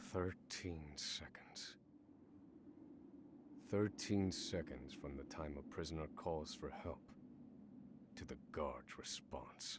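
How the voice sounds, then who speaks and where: Over clear background noise, a man whispers in a gruff, put-on character voice at a very slow pace with long, frequent pauses. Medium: video game. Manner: measured, brooding.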